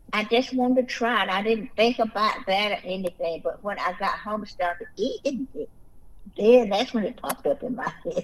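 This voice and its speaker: A woman's fairly high voice at a moderate pace with ordinary pitch variation, against noticeable background noise. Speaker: podcast co-host. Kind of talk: casual faith discussion.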